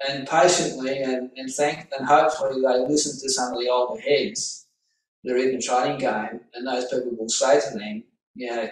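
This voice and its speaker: The speaker is a man with an unremarkable speaking voice, pitched at medium. His pace is moderate and his intonation fairly even. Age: 60s. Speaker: author and trading coach. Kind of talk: interview.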